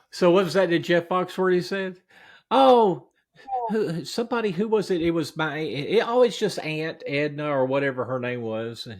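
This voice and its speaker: This man has a high pitch and very wide pitch swings. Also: moderate pace. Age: 50s. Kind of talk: casual podcast conversation.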